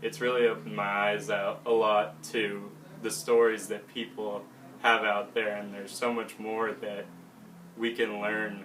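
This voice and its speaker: Noticeable background noise and audible room echo surround a man speaking at a moderate pace and a fairly low pitch. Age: young. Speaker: college student volunteer. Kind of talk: video testimonial.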